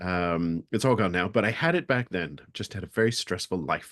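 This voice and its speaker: A man with an American accent, lively intonation and a moderate pace, in a dry, close sound with no echo and a quiet background. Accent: American, learned over natural British. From England and US (Las Vegas, Nevada). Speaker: speaker on resilience. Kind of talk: webinar talk.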